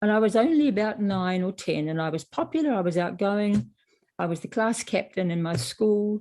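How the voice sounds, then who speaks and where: Against a quiet background, a woman in a New Zealand accent speaks at medium pitch and a moderate pace with lively intonation. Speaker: author. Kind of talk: interview. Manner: halting.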